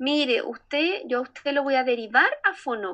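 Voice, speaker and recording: A woman's high, bright and sharp voice, raised and projected, in a Chilean accent against a quiet background. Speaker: speech therapist, association director. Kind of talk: casual interview chat. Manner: hesitant, many fillers.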